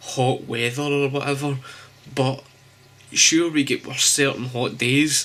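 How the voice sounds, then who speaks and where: A man speaks in a Glasgow accent with monotone, flat intonation. His pace is very slow, and background noise is noticeable. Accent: Scottish, Glasgow. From Scotland. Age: 20s. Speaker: graphic designer. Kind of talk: casual vlog talk to camera.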